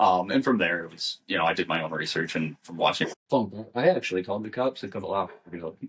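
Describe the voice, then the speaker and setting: With a Midwestern US accent, a man with a fairly low pitch speaks at a very fast pace with hardly any pauses, ordinary pitch variation and big swings in loudness. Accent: US Midwest. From US Midwest. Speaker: podcast co-host. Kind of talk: casual chat. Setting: home.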